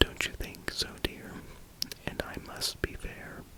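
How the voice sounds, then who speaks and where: Whispering amid noticeable background noise. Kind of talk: ASMR whispered reading of a novel for sleep. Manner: whispered.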